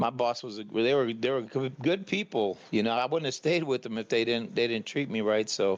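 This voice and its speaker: A man with an American accent has an ordinary speaking voice at medium pitch with ordinary variation. He talks at a fairly quick pace against a quiet background. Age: 60s. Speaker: caller. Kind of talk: casual chat.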